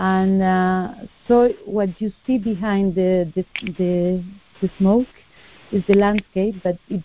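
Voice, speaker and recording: At a fairly slow pace, a woman with a medium-pitched voice speaks in a monotone, flat intonation. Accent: Spanish. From southern Spain (Cádiz). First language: Spanish. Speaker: artist. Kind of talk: interview. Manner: hesitant, many fillers.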